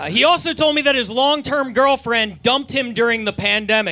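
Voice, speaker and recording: Over noticeable background noise, a man with an extremely high pitch speaks in a raised, projected voice at a moderate pace. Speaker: comedian in roast battle. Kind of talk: stand-up roast set. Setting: stage with audience.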